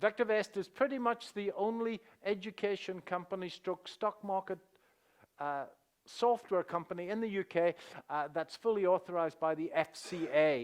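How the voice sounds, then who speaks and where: A high-pitched man in a Northern Irish accent at a moderate pace, in a very clean recording with a silent background. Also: ordinary pitch variation. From Northern Ireland. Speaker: stock market educator. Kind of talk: seminar presentation. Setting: stage with audience. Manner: hesitant with many fillers.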